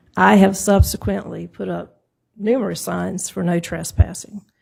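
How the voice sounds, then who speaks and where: A moderately paced female voice in a very clean recording, the background silent. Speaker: property owner speaking at zoning hearing. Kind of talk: public hearing testimony. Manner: soft-spoken, low.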